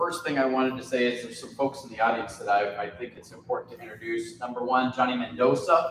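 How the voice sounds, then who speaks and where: Room echo can be heard clearly around a man's voice. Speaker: county community development official. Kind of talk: public presentation. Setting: college meeting room with audience. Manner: loud.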